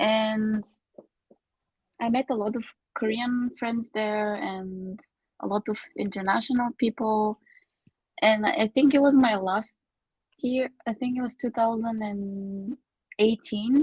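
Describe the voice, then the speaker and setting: A woman's very slow, somewhat breathy speech with a Bulgarian accent, fairly even intonation, long and frequent pauses, and a dry, close sound with no echo. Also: fairly high pitch for a woman. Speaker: podcast guest, former student in Korea. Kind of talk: casual chat.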